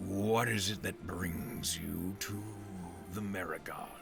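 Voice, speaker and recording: Against clear background noise, a man puts on a character voice, pitched fairly low and delivered at a fairly slow pace. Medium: actual play. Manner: grandiose, verbose.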